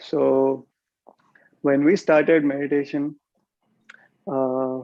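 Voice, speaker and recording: A man with an Indian accent, fairly high pitch, dark and mellow tone, monotone and flat intonation, at a very slow pace. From India, Hyderabad. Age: 30s. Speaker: meditation teacher. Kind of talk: talk on meditation.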